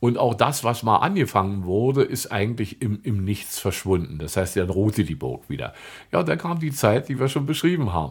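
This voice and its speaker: A somewhat breathy male voice, fairly low in pitch, with very wide pitch swings and a moderate pace. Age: 60s. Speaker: tour guide and local historian. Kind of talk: casual interview about local history.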